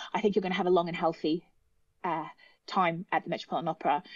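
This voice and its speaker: Talking at a very fast pace, a woman with an Australian accent holds a medium pitch. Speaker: opera singer. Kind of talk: casual chat. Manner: animated.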